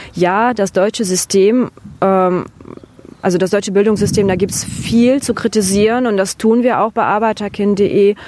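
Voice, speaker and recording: A woman speaks in a Russian accent with a dark, mellow tone. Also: medium pitch for a woman, fairly even intonation, moderate pace, very even loudness. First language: Russian (speaking German). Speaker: interview guest. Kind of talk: interview.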